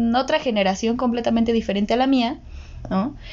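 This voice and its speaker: Here a woman speaks in an ordinary speaking voice. Her pitch is fairly high, with ordinary pitch variation. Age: 20s. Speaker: podcast co-host, psychology side. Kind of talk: casual chat.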